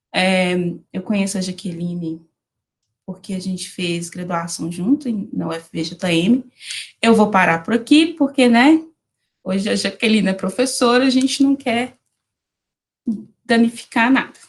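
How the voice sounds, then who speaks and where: A woman of medium pitch talks at a fairly slow pace with lively intonation and a somewhat breathy sound, leaving long, frequent pauses. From Brazil, Minas Gerais (Diamantina, Jequitinhonha valley). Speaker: animal science researcher and lecturer. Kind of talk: online lecture. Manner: casual, informal.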